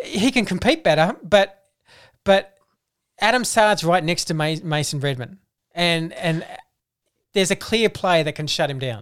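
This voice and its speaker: A woman with an Australian accent speaks at a fairly low pitch and a moderate pace, with lively intonation. She leaves long, frequent pauses in a very clean recording with a silent background. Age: 40s. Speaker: football podcast co-host. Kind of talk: casual chat.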